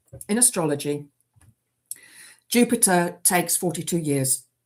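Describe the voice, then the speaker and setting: A woman's fairly low voice, a plain, everyday voice with ordinary pitch variation at a moderate pace, in a very clean recording with a silent background. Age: 50s. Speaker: livestreamer. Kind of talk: casual chat. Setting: livestream.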